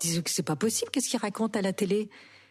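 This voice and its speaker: A woman speaks with a somewhat breathy voice of medium pitch. The background is quiet. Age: 60s. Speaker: actress and author. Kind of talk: interview.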